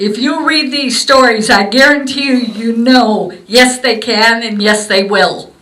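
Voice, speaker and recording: With audible room echo and noticeable background noise, a woman speaks at a fairly high pitch with fairly even intonation. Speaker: museum volunteer presenting gifts to veterans. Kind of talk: short ceremony address. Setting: memorial museum event with audience. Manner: informal, hesitant; soft-spoken.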